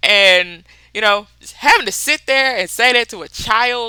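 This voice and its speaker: On a very clean recording with a silent background, an animated woman with a fairly high pitch speaks in a bright, sharp tone with a Mississippi accent. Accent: Mississippi accent, noticeable. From US South, Mississippi. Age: 30s. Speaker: book podcaster. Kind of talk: casual chat.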